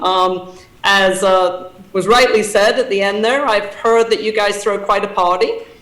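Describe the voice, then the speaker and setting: Speaking with an English accent and fairly even intonation, a woman is heard over noticeable background noise and audible room echo. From England. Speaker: association president and CEO. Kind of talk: conference talk. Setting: video call. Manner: hesitant with many fillers.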